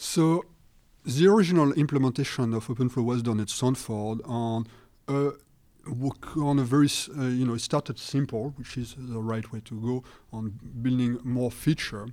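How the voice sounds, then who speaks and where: With a French accent, a man speaks at a medium pitch and a moderate pace. His pitch variation is ordinary. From France. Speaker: networking researcher. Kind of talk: interview.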